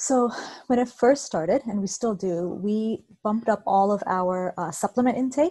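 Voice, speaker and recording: Somewhat breathy and dark and mellow in tone, a woman speaks at a moderate pace with ordinary pitch variation. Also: fairly high pitch for a woman. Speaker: health expert. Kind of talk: casual interview. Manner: soft-spoken.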